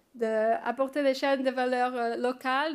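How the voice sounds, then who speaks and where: A woman with a non-native accent speaks at a fairly slow pace in a high pitch, her intonation monotone and flat, on a very clean recording with a silent background. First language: not French (speaking French). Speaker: research assistant. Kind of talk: conference presentation. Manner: halting, many hesitations.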